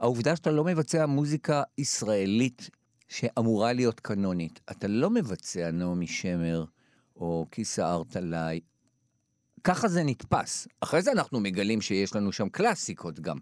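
At a fairly slow pace, a man speaks with a fairly low pitch and very wide pitch swings, on a very clean recording with a silent background and a dry, close sound with no echo. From Israel, Jerusalem. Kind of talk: interview.

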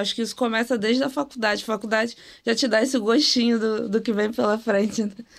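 Speaking with a plain, everyday voice, a woman keeps a moderate pace, a fairly high pitch and fairly even intonation, on a very clean recording with a silent background. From Rio de Janeiro, Brazil. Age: 20s. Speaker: data engineer. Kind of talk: casual chat.

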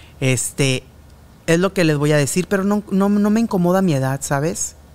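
A man talks with a Mexican accent. His intonation is lively. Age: 30s to 40s. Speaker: journalist and podcast host. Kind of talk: casual chat.

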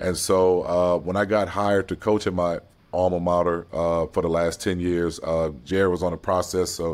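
Over a silent background in a very clean recording, a man talks in a very deep, low pitch with monotone, flat intonation. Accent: American. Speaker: basketball head coach. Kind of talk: interview. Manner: halting.

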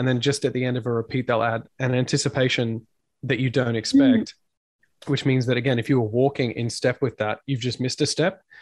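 Here a man speaks at a fairly quick pace and a medium pitch. His intonation is fairly even. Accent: Australian. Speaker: band frontman and podcaster. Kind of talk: casual interview chat. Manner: jokey, talkative.

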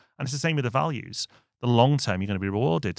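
A man in a northern English accent, medium in pitch and lively in intonation, on a very clean recording with a silent background and a dry, close sound with no echo. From northern England. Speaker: business podcast co-host. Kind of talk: casual business discussion.

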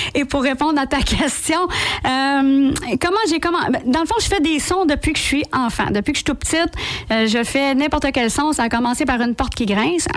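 A woman with a high voice speaks at a moderate pace, her loudness very even and her pitch variation ordinary, with noticeable background noise behind her. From Quebec, Laval. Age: 40s. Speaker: impressionist and sound-effects comedian. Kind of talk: radio interview. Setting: radio studio.

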